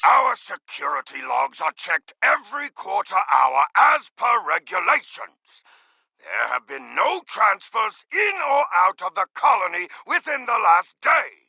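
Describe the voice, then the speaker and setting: In a put-on character voice, a man speaks at a fairly slow pace with a dry, close sound and no echo. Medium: video game. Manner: proud, defiant.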